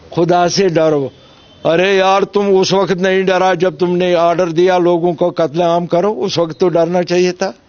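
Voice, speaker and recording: A man with a high pitch keeps his loudness very even while noticeable background noise plays behind him. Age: 70s. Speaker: politician, MLA candidate and former militant. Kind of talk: interview. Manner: animated.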